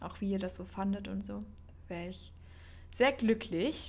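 A woman talks at a fairly slow pace. Some room echo can be heard. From northern Germany, Baltic coast. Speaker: podcast host. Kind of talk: casual monologue. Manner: unscripted, chatty.

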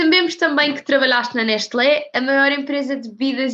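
A woman's high-pitched voice, bright and sharp in tone, at a fairly quick pace. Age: young. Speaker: student podcast host. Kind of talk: interview.

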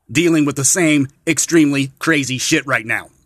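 A man speaks with a plain, everyday voice, his pitch fairly high and its variation ordinary. The recording is very clean and dry, close, with a silent background and no echo. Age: 40s. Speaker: podcast host. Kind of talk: solo monologue podcast.

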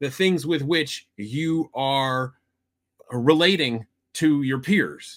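A man with a Midwestern US accent, fairly high in pitch, at a very slow pace. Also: ordinary pitch variation. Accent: US Midwest. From Iowa. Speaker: podcast co-host. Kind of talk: casual chat.

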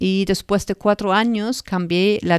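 With a German accent, the voice moves at a fairly slow pace with fairly even intonation, in a dry, close sound with no echo on a very clean recording with a silent background. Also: woman. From northern Germany, Lower Saxony. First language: German (speaking Spanish). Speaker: podcast host, animal therapist. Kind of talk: personal storytelling monologue. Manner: halting.

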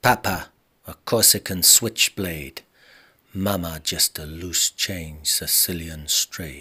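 A man performs in a theatrical, bright and sharp tone. The sound is dry and close with no echo, and his pitch varies in an ordinary way. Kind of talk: spoken-word poem performance, rhythmic rhyming verse. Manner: rhythmic, punchy, theatrical delivery with gritty noir swagger and emphasized rhymes.

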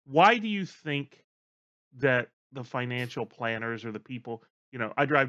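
The man's voice has a bright, sharp tone at medium pitch. The background is quiet. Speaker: producer filling in as host. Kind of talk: unscripted casual conversation.

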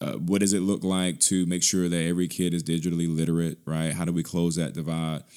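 A man with an American accent speaks in a very deep, low voice at a very fast pace, hardly pausing, his intonation monotone and flat, on a very clean recording with a silent background. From Birmingham, Alabama (US South). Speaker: tech nonprofit executive. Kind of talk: interview conversation.

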